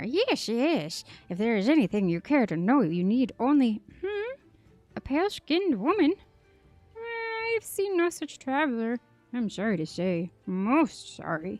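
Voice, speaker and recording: In a put-on character voice, a woman speaks at a fairly high pitch with very wide pitch swings over faint background music. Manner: polite, welcoming.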